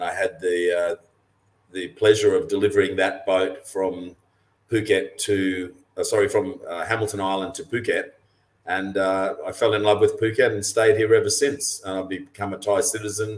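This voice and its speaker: With an Australian accent, a man speaks at a moderate pace, his loudness swinging widely. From Australia, western Queensland. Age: 60s. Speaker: professional mariner and cruising guide author. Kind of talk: webinar interview.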